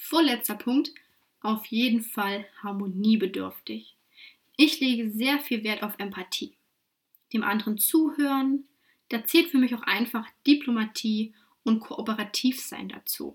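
This woman has a fairly high pitch, ordinary pitch variation and a somewhat breathy quality. She talks at a fairly slow pace with long, frequent pauses. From Saxony-Anhalt, Germany (Wittenberg). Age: 20s. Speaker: podcast host and career coach. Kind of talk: solo podcast monologue.

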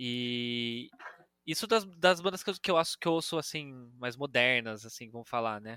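With a bright, sharp tone and medium pitch, a man speaks at a fairly slow pace, his intonation lively and his loudness swinging widely. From Brazil, Campinas (São Paulo state). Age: 20s. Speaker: journalist. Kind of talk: casual chat.

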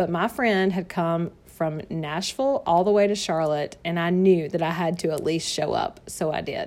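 With a Southern US accent, a woman speaks at a moderate pace and fairly low pitch, with ordinary pitch variation, a warm tone and hardly any pauses, in a very clean recording with a silent background. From North Carolina, US South. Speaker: direct sales consultant and podcast host. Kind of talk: sales pitch / personal story monologue. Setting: home office. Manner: warm, chatty, laughs often.

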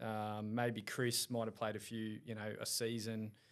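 On a very clean recording with a silent background, a man speaks at a fairly low pitch in an Australian accent. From Australia, Caloundra, Queensland. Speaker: rugby league coach. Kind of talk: casual chat.

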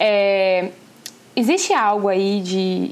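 A woman talks in a medium pitch with monotone, flat intonation. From Brazil. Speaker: podcast host, psychoanalyst. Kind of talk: interview.

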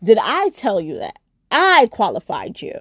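A woman talks with a New York accent and an animated tone. The sound is dry and close, with no echo. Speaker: podcast host, nurse. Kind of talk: casual solo podcast chat.

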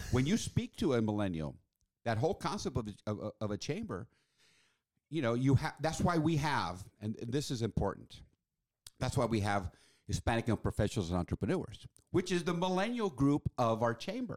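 Very wide pitch swings at a moderate pace, in a dry, close sound with no echo, on a very clean recording with a silent background. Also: man, medium pitch for a man. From Mexico City, with childhood in Washington DC. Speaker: chamber of commerce executive. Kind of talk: podcast interview.

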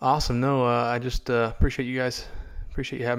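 A man speaks at a medium pitch in a flat monotone. The recording is very clean, with a silent background. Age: 30s. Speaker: hunting TV show producer and host. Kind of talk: casual interview. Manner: halting, many fillers.

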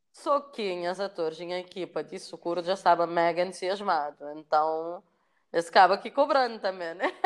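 A woman's normal speaking voice with ordinary pitch variation, on a very clean recording with a silent background. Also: fairly low pitch for a woman, moderate pace. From Cape Verde, São Vicente. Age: 30s. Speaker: filmmaker. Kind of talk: interview.

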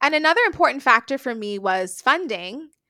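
Raised and projected, a woman's high-pitched voice has a bright, sharp tone and very wide pitch swings. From Bahamas, New Providence. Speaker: speech language pathologist and researcher. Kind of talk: interview.

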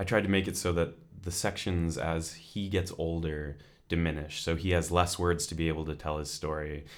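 A man with a Californian accent speaks at a moderate pace in a very deep, low voice, his intonation monotone and flat, with audible room echo. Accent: Californian American. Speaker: creative writing student and author. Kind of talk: casual interview.

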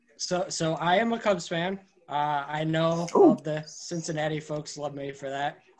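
A man with a normal speaking voice talks fairly slowly at a fairly high pitch, keeping his intonation fairly even. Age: 20s. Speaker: sports blogger. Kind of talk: casual chat.

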